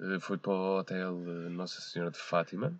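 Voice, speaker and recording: A man with very deep, low pitch talks at a fairly slow pace. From Portugal, Porto area. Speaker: podcast guest. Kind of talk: casual chat. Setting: parked car.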